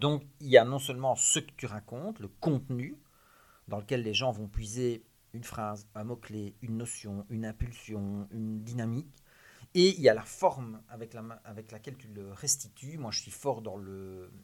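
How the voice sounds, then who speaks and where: With a Liège accent, the voice moves at a fairly slow pace, showing ordinary pitch variation and big swings in loudness. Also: man, medium pitch for a man. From Belgium, Liège. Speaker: criminologist, author and public speaker. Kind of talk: interview.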